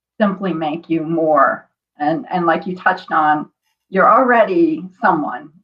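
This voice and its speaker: A woman uses a normal speaking voice, talking fairly slowly with ordinary rises and falls in pitch. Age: 50s. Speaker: martial artist and author. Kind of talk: interview.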